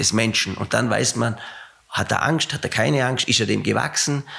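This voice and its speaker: Vocal fry runs through moderately paced speech with lively intonation. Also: man. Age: 60s. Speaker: company CEO, former rowing coach. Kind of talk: interview.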